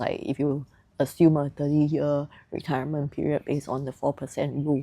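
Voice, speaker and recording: Her voice very deep and low, a woman speaks at a moderate pace in a dark, mellow, relaxed tone, on a very clean recording with a silent background. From Singapore. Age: 30s. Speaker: early retiree and lifestyle vlogger. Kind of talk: casual explainer vlog. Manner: relaxed, with frequent fillers.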